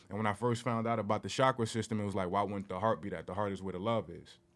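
At a very fast pace, a man talks at a fairly low pitch with fairly even intonation. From Newark, New Jersey. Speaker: meditation teacher. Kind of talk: casual chat.

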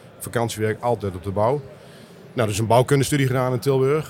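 A man is talking with ordinary pitch variation. Background noise is noticeable. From Netherlands, Meppel (Drenthe). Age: 60s. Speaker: business developer in construction. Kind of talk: interview.

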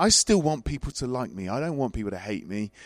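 In an English accent, a man speaks on a very clean recording with a silent background. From Worcester, England. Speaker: pastor. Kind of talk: panel interview.

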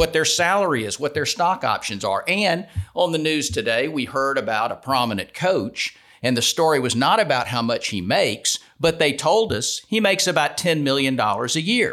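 A man speaks in a fairly high voice with vocal fry. His pitch swings very widely. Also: moderate pace. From US South, Atlanta, Georgia. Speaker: civil defense attorney. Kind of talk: podcast interview. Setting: studio.

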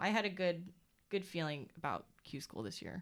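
Here is a woman with an ordinary speaking voice. She keeps a moderate pace and lively intonation. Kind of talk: casual chat.

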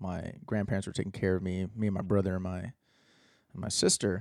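On a very clean recording with a silent background, a man with an American accent speaks in a fairly low pitch, his tone dark and mellow and his intonation monotone and flat. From Texas. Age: 30s. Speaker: musician. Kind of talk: casual chat.

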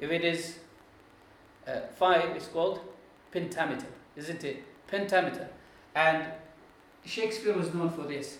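Against noticeable background noise, a speaker with an Arabic accent talks at a moderate pace with fairly even intonation and long, frequent pauses. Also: man, high pitch for a man. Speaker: Islamic scholar and Quran teacher. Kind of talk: lecture. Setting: classroom with live audience. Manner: halting.

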